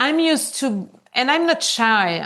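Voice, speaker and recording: This woman's delivery is very slow. No noise intrudes behind her. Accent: French. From Switzerland. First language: French. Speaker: conscious business mentor. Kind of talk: podcast interview. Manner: casual, with frequent fillers.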